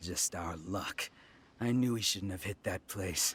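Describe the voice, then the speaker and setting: Using a put-on character voice, a man growls at a very deep, low pitch, speaking fairly slowly with ordinary pitch variation. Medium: video game. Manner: brash, boastful.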